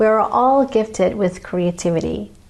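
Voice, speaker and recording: A woman with a medium pitch talks at a very slow pace, her intonation lively. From Malaysia. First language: Malay. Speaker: painter and channel host. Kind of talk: channel introduction monologue.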